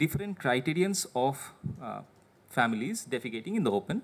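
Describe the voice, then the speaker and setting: With an Indian accent, a man talks at a fairly quick pace, his fairly high voice making very wide pitch swings. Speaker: government administrator. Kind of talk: presentation. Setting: seminar with audience. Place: meeting room. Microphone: podium.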